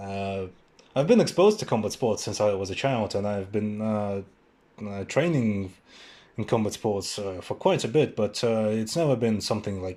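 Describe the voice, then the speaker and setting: On a very clean recording with a silent background, a man speaks at a fairly low pitch. His tone is dark and mellow, with ordinary pitch variation. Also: moderate pace. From Buryatia, Russia. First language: Russian and Buryat. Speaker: podcast host. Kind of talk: casual solo podcast monologue. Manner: halting, many fillers.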